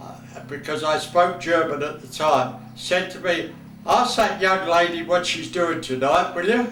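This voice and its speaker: A man's high voice at a fairly slow pace, ordinary pitch variation, audible room echo and noticeable background noise. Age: 80s+. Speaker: football fan and former team mascot. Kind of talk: recorded video message to former players. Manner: halting, with repetitions.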